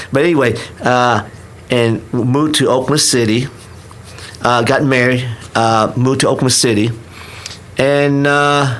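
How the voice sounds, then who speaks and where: A man with a Vietnamese accent, very even loudness and long, frequent pauses, with audible room echo. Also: medium pitch for a man, fairly even intonation, moderate pace. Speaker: restaurant owner. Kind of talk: podcast interview. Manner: halting, many restarts.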